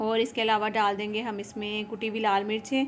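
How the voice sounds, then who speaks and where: A woman is speaking at a moderate pace. Her pitch sits fairly high. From Pakistan, Punjabi. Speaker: cooking and lifestyle vlogger. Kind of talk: casual vlog narration while cooking. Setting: home kitchen.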